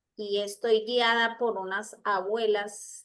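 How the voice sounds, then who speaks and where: A woman's flat, monotone delivery against a quiet background. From Colombia. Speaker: psychologist and traditional healer. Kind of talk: talk in an online circle. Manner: halting, many fillers.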